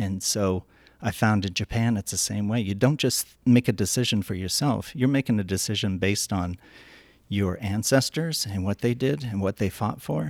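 In an American accent, a man with a fairly low pitch and an unremarkable speaking voice talks at a moderate pace with ordinary pitch variation, recorded dry and close with no echo on a very clean track with a silent background. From Northern Cheyenne Reservation, Montana. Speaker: architect and shop owner. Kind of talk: interview. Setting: in a shop.

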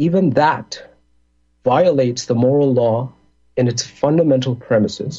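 The man's voice is somewhat breathy and medium in pitch. He talks at a fairly slow pace with ordinary pitch variation. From India, raised in the Middle East. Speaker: computer scientist, libertarian guest. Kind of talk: casual interview chat.

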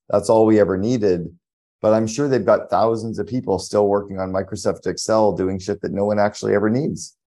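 A man with a Canadian accent, a dark, mellow tone, fairly low pitch and a fairly quick pace. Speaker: podcast host. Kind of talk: interview.

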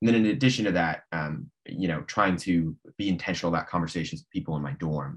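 Speaking at a very fast pace with hardly any pauses, a man with an American accent uses a very deep, low pitch, lively intonation and big swings in loudness. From Nebraska, US Midwest. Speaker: law student. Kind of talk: interview. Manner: halting.

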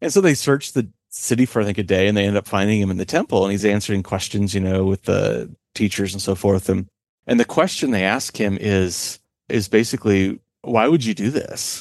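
The clip has an unremarkable speaking voice with ordinary pitch variation at a fairly quick pace, recorded dry and close with no echo against a quiet background. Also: man, fairly low pitch for a man. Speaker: author. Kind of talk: interview conversation.

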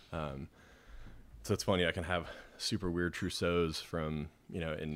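This man has a very deep, low voice and speaks with an American accent. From Idaho, US. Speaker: wine salesman. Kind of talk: casual chat.

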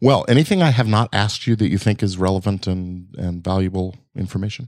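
In a very clean recording with a silent background, a man speaks in a plain, everyday voice at a fairly quick pace, fairly low in pitch, with ordinary pitch variation. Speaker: podcast host. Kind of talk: casual interview. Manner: conversational, friendly.

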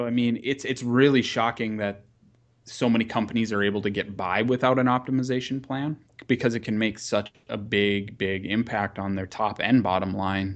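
Speaking with an American accent, a man uses an ordinary speaking voice at a medium pitch and a moderate pace. His intonation is fairly even, and the background is quiet. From US Upper Midwest, rural North Dakota. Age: 30s. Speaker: marketing company founder. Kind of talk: podcast interview.

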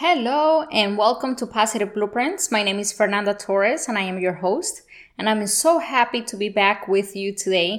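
Lively intonation carries a moderate pace in a Spanish accent. The recording is very clean, with a silent background. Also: woman, fairly high pitch for a woman. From Colombia (Bogota). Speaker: podcast host. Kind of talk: motivational monologue.

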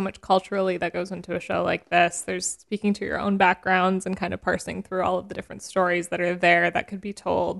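A woman with a normal speaking voice, medium pitch and a fairly quick pace, over a quiet background. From Canada. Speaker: podcast host. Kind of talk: casual interview chat. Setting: studio.

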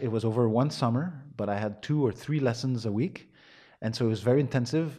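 At a fairly quick pace, a man with a strong Quebec accent talks at a medium pitch with ordinary pitch variation and a dark, mellow tone. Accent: Quebecois French-accented English, strong. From Montreal, Quebec. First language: French. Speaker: musician and arts foundation founder. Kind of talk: interview, conversational. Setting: home dining room, thunderstorm.

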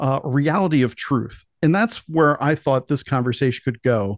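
A plain, everyday voice with lively intonation, dry, close sound with no echo and a quiet background. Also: man. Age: 40s. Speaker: podcast host. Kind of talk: political talk show interview.

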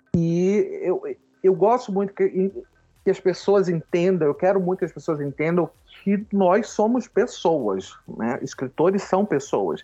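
Music plays in the background as a man speaks at a high pitch. He goes at a fairly slow pace with ordinary pitch variation. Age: 40s. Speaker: writer and theatre director. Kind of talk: casual interview.

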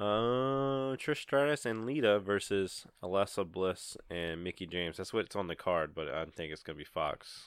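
A man with an unremarkable speaking voice and fairly low pitch talks at a moderate pace, with lively intonation and hardly any pauses. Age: 30s. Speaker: wrestling podcast host and editor. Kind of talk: casual chat.

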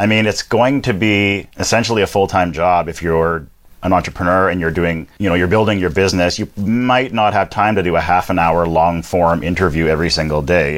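A man's very deep, low voice at a fairly quick pace, with hardly any pauses. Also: ordinary pitch variation. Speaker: podcast manager and live broadcast host. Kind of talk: live streamed interview chat. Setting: Facebook Live broadcast.

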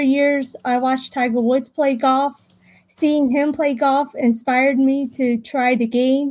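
A speaker with an American accent talks at a fairly slow pace, with very even loudness and a monotone, flat intonation. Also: woman. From Richmond, Virginia, US. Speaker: sports psychology consultant. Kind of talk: interview. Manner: halting.

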